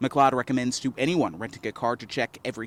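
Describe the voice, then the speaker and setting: A man speaks with an American accent in a normal speaking voice, fairly high in pitch, with ordinary pitch variation and a moderate pace. The sound is dry and close, with no echo. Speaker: TV news anchor and reporter. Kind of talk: TV news anchor and reporter delivery.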